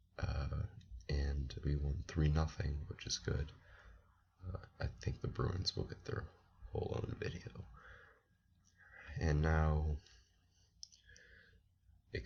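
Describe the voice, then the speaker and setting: A man speaks with a very deep, low pitch and ordinary pitch variation. His delivery has long, frequent pauses over noticeable background noise. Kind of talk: sports commentary talking to camera.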